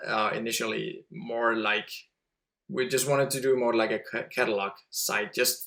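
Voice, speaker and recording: A man speaks with a Danish accent at a moderate pace. His pitch is medium, with ordinary variation. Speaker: website entrepreneur. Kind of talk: podcast interview. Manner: halting.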